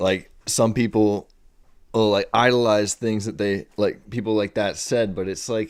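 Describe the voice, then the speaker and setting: Flat and monotone, a man speaks at a fairly low pitch. His pace is fairly slow. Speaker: movie review podcast co-host. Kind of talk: casual chat. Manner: halting, stuttering.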